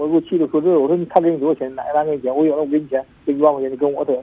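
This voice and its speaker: Very fast, fairly even speech from a man at a fairly high pitch. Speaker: pigeon racing worker. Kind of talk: phone-in confession. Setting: phone call. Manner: mumbling.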